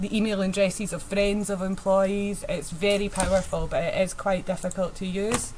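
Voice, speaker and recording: A woman's medium-pitched voice with a strong Scottish accent, flat monotone intonation, a moderate pace, hardly any pauses, and audible room echo. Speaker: penetration tester presenting a workshop. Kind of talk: technical presentation. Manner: hesitant, many fillers.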